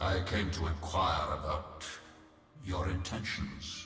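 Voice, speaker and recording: A man speaks at a fairly slow pace in a put-on character voice. His pitch is very deep and low, with a clear echo. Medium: game stream. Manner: calm, measured, aloof.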